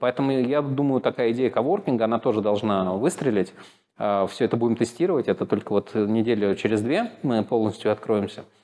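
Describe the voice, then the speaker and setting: An unremarkable speaking voice moves at a fairly quick pace, with ordinary pitch variation and very even loudness. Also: man, medium pitch for a man. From Moscow, Russia. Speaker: relocated entrepreneur. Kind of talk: interview.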